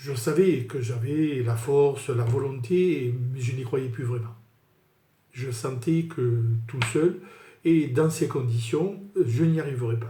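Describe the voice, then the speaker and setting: Speaking very slowly with long, frequent pauses, a man has a dark, mellow, somewhat breathy tone at a medium pitch. His pitch varies in an ordinary way, and the room echo is audible. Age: 60s. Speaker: sales manager giving client testimonial. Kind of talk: testimony. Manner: halting with frequent fillers.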